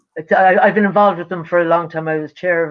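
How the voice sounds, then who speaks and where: In an Irish accent, a woman talks very fast at a fairly low pitch with fairly even intonation. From Ireland. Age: 70s. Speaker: singer-songwriter. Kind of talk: casual chat. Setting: livestream video call.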